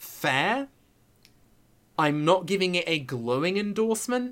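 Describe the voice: A man's fairly bright tone with lively intonation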